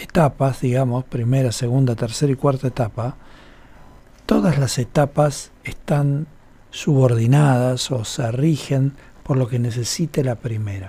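This man has a medium-pitched voice with a dark, mellow tone and ordinary pitch variation. He talks at a fairly slow pace and sounds somewhat breathy. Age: 50s. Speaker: radio host and holistic therapist. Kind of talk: radio talk show, explanatory. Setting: radio studio.

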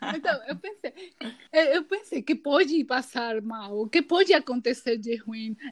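A woman with a Peruvian accent speaks at a high pitch with lively intonation and big swings in loudness. The sound is dry and close, with no echo. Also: fairly slow pace. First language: Spanish (speaking Portuguese). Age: 20s. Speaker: graphic designer. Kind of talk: casual chat.

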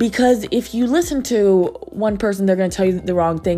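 A woman at medium pitch with lively intonation and a very fast pace, music in the background. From Virginia. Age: 20s. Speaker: podcast host. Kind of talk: casual interview; podcast intro.

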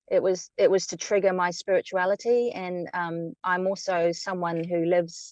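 A woman with a New Zealand accent speaks at a moderate pace and medium pitch, her intonation monotone and flat, in a dry, close sound with no echo. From New Zealand (Wellington). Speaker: writer, former volunteer radio announcer. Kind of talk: casual chat. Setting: remote call from inside her car.

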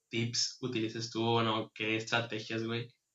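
A man speaks at a medium pitch. He has a Mexican accent. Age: 30s. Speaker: podcast host. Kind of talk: casual chat.

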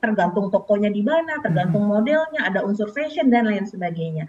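Very rapid speech from a woman, with noticeable noise in the background. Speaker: financial planner. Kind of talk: news interview. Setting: video call. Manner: hesitant with fillers. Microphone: delayed connection.

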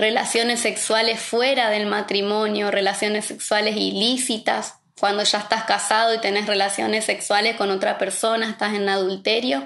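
A woman speaks with fairly high pitch. Her intonation is monotone and flat. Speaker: pastor's wife and preacher. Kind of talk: sermon. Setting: online livestream.

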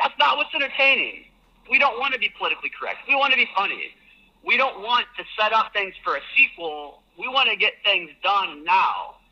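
A man's raised, projected voice, extremely high in pitch, with very wide pitch swings. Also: fairly quick pace. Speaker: listener. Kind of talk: voice memo rant.

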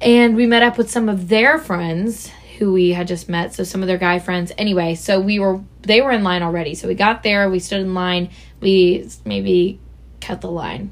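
A woman's plain, everyday voice at a moderate pace. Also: medium pitch for a woman, ordinary pitch variation. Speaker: college podcast co-host. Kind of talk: casual chat.

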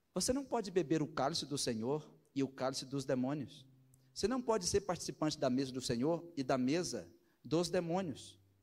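This man has an ordinary speaking voice, fairly high in pitch, with lively intonation and a moderate pace. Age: 40s. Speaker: pastor. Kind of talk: sermon.

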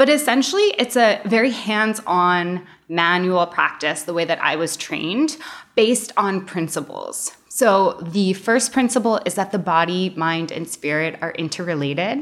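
A woman's medium-pitched voice with an American accent and lively intonation. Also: moderate pace. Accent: American with slight Canadian touches. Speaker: osteopath. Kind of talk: interview.

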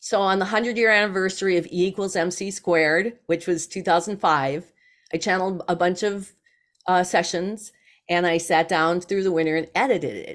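A woman with an unremarkable speaking voice talks at a moderate pace and medium pitch, keeping fairly even intonation on a very clean recording with a silent background. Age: 60s. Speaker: psychic channel and author. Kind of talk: casual interview conversation.

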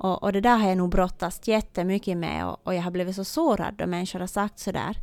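This is an ordinary speaking voice with fairly even intonation. The recording is very clean, with a silent background. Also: woman. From Ostrobothnia, Finland (Swedish-speaking). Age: 30s. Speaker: teacher and therapist. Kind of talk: faith testimony interview.

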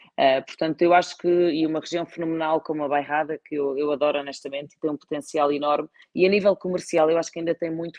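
A woman speaks at a very fast pace in a very deep, low pitch. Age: 30s. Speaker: wine distribution executive. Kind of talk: interview. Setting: live stream.

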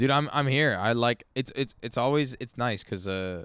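This man has a plain, everyday voice, a medium pitch, ordinary pitch variation and a moderate pace, recorded very cleanly against a silent background. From Vancouver, Canada. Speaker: musician. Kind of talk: casual chat. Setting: backyard studio.

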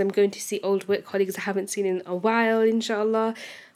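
A woman speaks at a very fast pace with monotone, flat intonation. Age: 20s. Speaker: solo podcaster. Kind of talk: casual monologue. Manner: hesitant, many fillers.

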